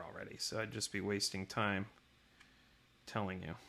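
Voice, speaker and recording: Soft-spoken, a man talks at a moderate pace with a bright, sharp tone. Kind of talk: casual talk to camera. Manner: quiet, soft-spoken.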